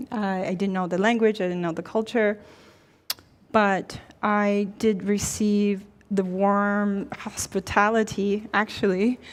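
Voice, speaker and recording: A woman at a very slow pace, monotone and flat in intonation. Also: medium pitch for a woman. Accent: Chinese. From China, then Ohio from age eleven. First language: Chinese. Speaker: university dean. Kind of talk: panel conversation.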